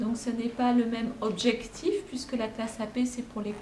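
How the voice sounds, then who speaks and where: Amid noticeable background noise and audible room echo, a woman with a fairly high pitch speaks fairly slowly with ordinary pitch variation. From France. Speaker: high school French teacher. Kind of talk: interview. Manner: halting, many fillers.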